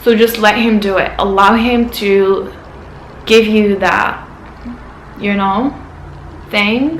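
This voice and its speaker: A woman with a non-native accent speaks at a very slow pace, her fairly high voice held to a fairly even intonation and broken by long, frequent pauses. Audible room echo and noticeable background noise sit under the recording. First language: not English. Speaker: vlogger. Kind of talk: casual advice vlog.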